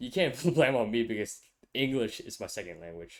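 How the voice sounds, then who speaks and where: A mumbling man in a Vietnamese accent at a moderate pace, on a very clean recording with a silent background. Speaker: podcast host, college student. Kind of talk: casual chat. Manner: stutters sometimes.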